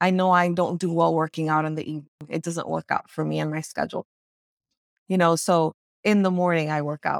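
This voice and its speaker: At a fairly quick pace, a woman with an American accent and fairly low pitch speaks in a monotone, flat way, with a dry, close sound, no echo, and a very clean recording with a silent background. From US, Dominican American family. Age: 40s. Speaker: clinical social worker and entrepreneur. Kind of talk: casual chat.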